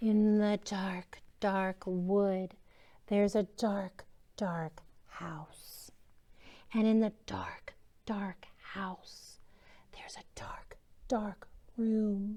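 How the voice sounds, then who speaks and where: Using a put-on character voice at a medium pitch, a woman speaks very slowly with long, frequent pauses. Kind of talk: children's story read-aloud. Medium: read story. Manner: whispered, spooky.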